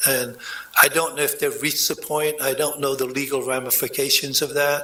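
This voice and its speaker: Noticeable background noise sits behind a man talking at a fairly quick pace. His loudness stays very even. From England. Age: 70s. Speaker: former mayor. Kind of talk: public meeting discussion. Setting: city commission meeting.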